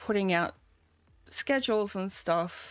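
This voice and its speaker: A woman speaks at a medium pitch with an Australian accent. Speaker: vtuber streamer. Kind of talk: casual live stream chat. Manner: halting, many fillers.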